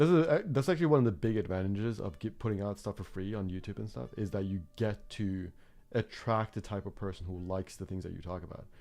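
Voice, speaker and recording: A man with a non-native accent speaks at a very fast pace. His voice is fairly low in pitch with a dark, mellow tone. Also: big swings in loudness. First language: not English. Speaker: art teacher. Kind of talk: live stream chat. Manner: halting, many fillers.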